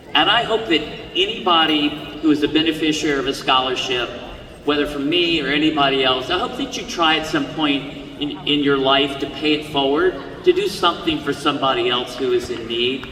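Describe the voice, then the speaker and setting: Speech comes at a fairly quick pace. Noticeable background noise and audible room echo fill the recording. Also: man, fairly high pitch for a man, ordinary pitch variation. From US. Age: 60s. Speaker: commencement speaker, honorary degree recipient. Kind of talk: commencement speech. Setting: stage with audience. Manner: halting, repeats words.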